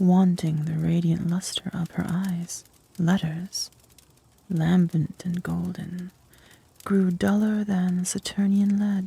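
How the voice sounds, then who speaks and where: At a very slow pace, the speaker whispers, soft-spoken throughout. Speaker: ASMR narrator, reader of gothic literature. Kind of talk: whispered ASMR story reading. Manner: soft-spoken, whispered.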